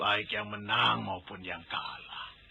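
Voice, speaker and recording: Using a put-on character voice, a man talks fairly slowly in a raspy, weary tone. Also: fairly low pitch for a man. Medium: old radio play. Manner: weary, grave.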